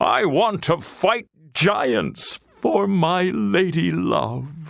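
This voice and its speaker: A man puts on a character voice, high-pitched. He speaks at a very slow pace. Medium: read story. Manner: grand, theatrical.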